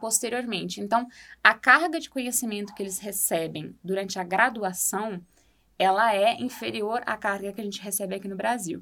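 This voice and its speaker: With an ordinary speaking voice, a woman talks at a moderate pace in a medium pitch with ordinary pitch variation. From Brazil. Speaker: architect and former exchange student. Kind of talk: podcast interview.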